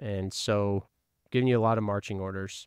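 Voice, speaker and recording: A man talks in a fairly low pitch against a quiet background. His intonation is monotone and flat. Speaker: podcast host, funeral director and musician. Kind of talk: solo podcast monologue.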